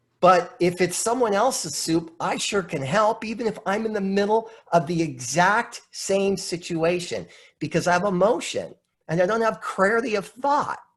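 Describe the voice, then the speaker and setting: Set against a quiet background, a man speaks at a moderate pace. His voice is high and animated in tone, with ordinary pitch variation. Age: 50s. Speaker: motivational speaker and coach. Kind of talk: presentation on a group video call.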